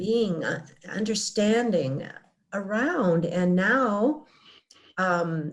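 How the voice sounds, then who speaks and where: A woman speaks at a very slow pace in a somewhat breathy voice of medium pitch. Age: 70s. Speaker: near-death experience survivor. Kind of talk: interview. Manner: halting.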